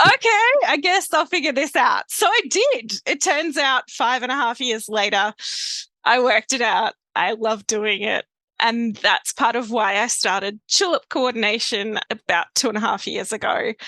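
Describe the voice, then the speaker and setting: A woman with a South Australian accent, high-pitched with a bright, sharp tone, lively intonation and a moderate pace, the sound dry and close with no echo. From South Australia, Adelaide family; grew up in Victoria. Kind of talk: podcast interview. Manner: casual, conversational.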